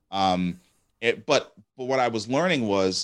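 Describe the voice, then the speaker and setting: A man speaks at a fairly low pitch with a New York accent. The recording is very clean, with a silent background. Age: 40s. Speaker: entrepreneur and venture capitalist. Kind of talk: interview conversation.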